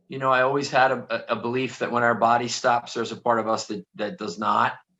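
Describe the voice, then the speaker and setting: With a Philadelphia accent, a man talks at a very fast pace in a medium pitch, his intonation fairly even. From Philadelphia area, US. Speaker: author and motivational speaker. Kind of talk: interview.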